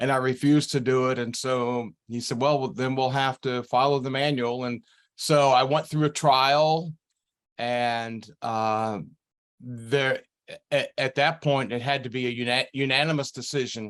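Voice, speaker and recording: A man at medium pitch, fairly slow and fairly even in intonation, against a quiet background. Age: 60s. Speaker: retired pastor. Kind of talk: interview conversation. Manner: halting, many fillers.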